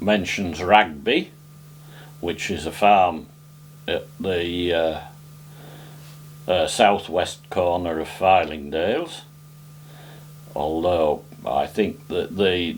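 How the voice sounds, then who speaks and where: A man with a North Yorkshire accent, very deep and low in pitch, at a very slow pace with long, frequent pauses and ordinary pitch variation. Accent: local North Yorkshire farming dialect. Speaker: folk singer and farmer. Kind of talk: interview. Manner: halting, with frequent fillers.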